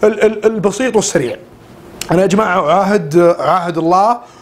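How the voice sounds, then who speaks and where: Fairly slow, animated speech from a man with a high pitch and ordinary pitch variation, amid noticeable background noise. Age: 20s. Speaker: weight-loss vlogger. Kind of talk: casual vlog monologue. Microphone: cheap camera and mic.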